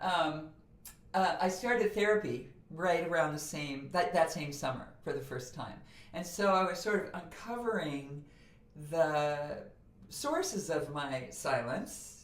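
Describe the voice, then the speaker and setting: A woman's fairly low-pitched, fairly slow voice with lively intonation, in audible room echo and noticeable background noise. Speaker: voice coach and author. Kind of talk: podcast interview. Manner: animated.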